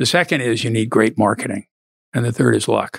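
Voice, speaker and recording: A man with an American accent speaks very fast in a fairly low voice with vocal fry and ordinary pitch variation. The recording is very clean, with a silent background and a dry, close sound with no echo. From Philadelphia, US Northeast. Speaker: magazine CEO and novelist, Navy veteran. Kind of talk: interview.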